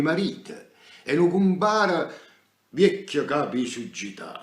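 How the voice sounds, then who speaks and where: Speaking at a very slow pace, a man uses lively intonation. He has a Neapolitan accent. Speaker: stage actor. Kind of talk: poetry reading. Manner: theatrical, emotional; nostalgic, melancholic.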